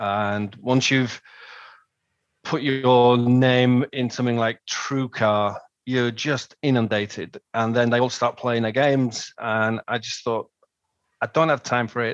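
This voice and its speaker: Speaking with an English accent, a man at a medium pitch talks at a fairly slow pace with fairly even intonation. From northern England, Manchester. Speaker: customer giving a testimonial. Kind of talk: testimonial interview. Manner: hesitant, many ums and repeated words.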